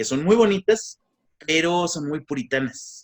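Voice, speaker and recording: Recorded dry and close with no echo, a man speaks in a Mexican accent. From Mexico. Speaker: egyptologist lecturer. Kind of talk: lecture. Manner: hesitant with fillers.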